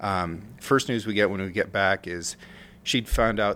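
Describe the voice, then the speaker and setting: A man with a plain, everyday voice and an American accent speaks at a moderate pace with a fairly low pitch. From rural Oregon. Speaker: war veteran. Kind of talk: casual chat.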